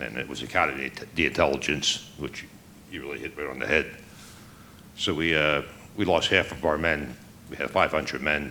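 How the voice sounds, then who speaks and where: A man with an American accent and a very deep, low pitch speaks at a fairly quick pace, with vocal fry, a bright, sharp tone, fairly even intonation and long, frequent pauses. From New Jersey, Trenton. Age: 60s. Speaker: war veteran. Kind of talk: testimony. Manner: halting.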